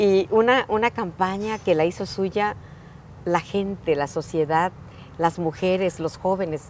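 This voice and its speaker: A woman's plain, everyday voice at a medium pitch, fairly slow pace and ordinary pitch variation. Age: 60s. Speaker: politician, mayor. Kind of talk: interview.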